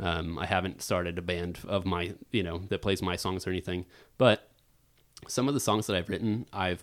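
A man's very deep, low pitch at a moderate pace, with fairly even intonation, on a very clean recording with a silent background. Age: 30s. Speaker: voice actor and musician. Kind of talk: casual chat.

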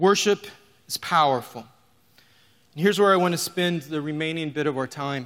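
With an American accent, a man speaks at a moderate pace with ordinary pitch variation and long, frequent pauses. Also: fairly high pitch for a man. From Oklahoma. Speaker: pastor. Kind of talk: sermon. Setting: church with live audience.

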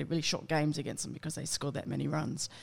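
A woman speaks in an Australian accent with vocal fry. Her pitch is very deep and low. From Australia, southwest Sydney (Campbelltown). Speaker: Olympic softball player. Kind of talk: casual chat.

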